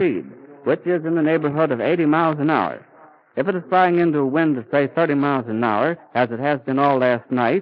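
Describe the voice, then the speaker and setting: A man talks in a plain, everyday voice, pitched fairly high and kept at a moderate pace. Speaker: radio reporter. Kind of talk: live radio news commentary. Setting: outdoors at an airfield.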